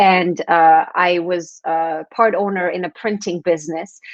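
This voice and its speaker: A woman speaks with a Quebec French accent at medium pitch. The background is quiet. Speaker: transformation coach and author. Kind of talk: interview. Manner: halting.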